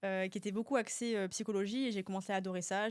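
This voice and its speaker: The recording is very clean, with a silent background. A woman speaks at medium pitch and a fairly quick pace, in a plain, everyday voice. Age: 30s. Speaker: work psychologist. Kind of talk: casual interview chat. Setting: studio.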